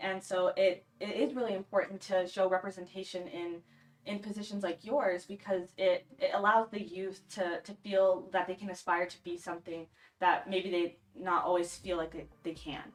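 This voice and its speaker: With an ordinary speaking voice at medium pitch, a woman talks with fairly even intonation and big swings in loudness. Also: moderate pace. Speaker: telethon host. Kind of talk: interview.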